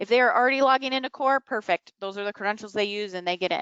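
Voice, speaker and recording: A woman with a fairly high pitch talks at a very fast pace over a quiet background. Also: dry sound with no echo. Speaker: software implementation manager and trainer; trainer. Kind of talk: tutorial. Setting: webinar. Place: home room. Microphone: webcam.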